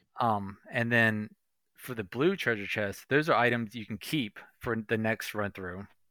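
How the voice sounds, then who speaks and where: A man's unremarkable speaking voice at medium pitch, fairly slow pace and ordinary pitch variation, in a very clean recording with a silent background and a dry, close sound with no echo. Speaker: video game podcaster guest. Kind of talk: casual chat.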